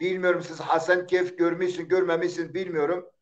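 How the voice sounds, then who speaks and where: A man speaks with an Eastern Anatolian accent. His pitch is high. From Eastern Turkey, Zaza village near Diyarbakır. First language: Zazaki (speaking Turkish). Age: 60s. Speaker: poet. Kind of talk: interview. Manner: halting.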